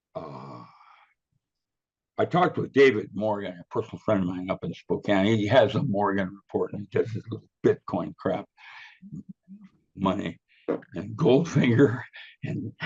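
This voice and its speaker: A somewhat breathy man's voice, fairly low in pitch, with very wide pitch swings, big swings in loudness, long, frequent pauses and a moderate pace. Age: 80s+. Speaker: physicist and author being interviewed. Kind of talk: casual interview conversation. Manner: rambling with frequent hesitations.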